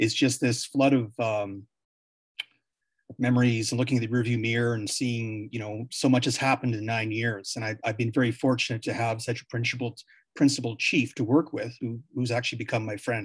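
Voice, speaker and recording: Somewhat breathy, a man with a Canadian accent speaks fairly quickly at a medium pitch in a flat monotone. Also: quiet background. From Canada, Yukon, Whitehorse. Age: 50s. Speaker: former mayor. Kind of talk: panel discussion. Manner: halting, frequent repetitions.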